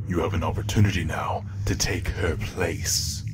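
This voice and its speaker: A man's put-on character voice, fairly low in pitch and fairly slow in pace, over loud background noise. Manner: overconfident, silver-tongued, persuasive.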